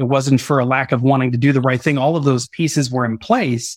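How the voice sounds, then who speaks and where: A man talks in a normal speaking voice at medium pitch, with fairly even intonation and a dry, close sound with no echo. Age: 40s. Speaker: business executive. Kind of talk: interview.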